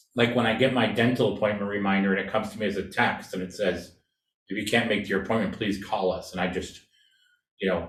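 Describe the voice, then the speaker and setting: Talking very fast in a fairly low pitch, a man with an American accent sounds somewhat breathy, his intonation fairly even, with audible room echo. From California. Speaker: design researcher and presenter. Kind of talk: presentation and Q&A.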